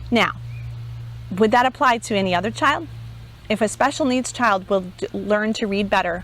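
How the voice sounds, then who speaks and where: Using a normal speaking voice, a woman of medium pitch talks at a fairly quick pace with ordinary pitch variation. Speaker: homeschool teacher trainer. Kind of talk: conference talk.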